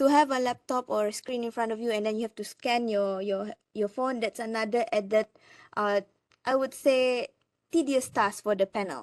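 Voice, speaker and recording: A normal speaking voice comes at a moderate pace with ordinary pitch variation, the sound dry and close with no echo over a quiet background. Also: woman, fairly high pitch for a woman. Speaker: lecturer. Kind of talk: presentation.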